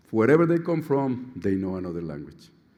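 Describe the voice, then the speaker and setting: A man with a Colombian accent speaks at a fairly quick pace in a dark, mellow tone. His pitch swings very widely, with audible room echo. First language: Spanish. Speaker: surgeon, outgoing society president. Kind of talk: conference speech. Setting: stage with audience.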